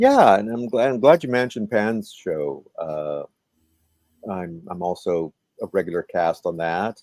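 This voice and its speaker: A plain, everyday voice from a man, fairly low in pitch, at a fairly slow pace with lively intonation and a dry, close sound with no echo. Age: 60s. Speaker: comedy performer and show host. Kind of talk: interview.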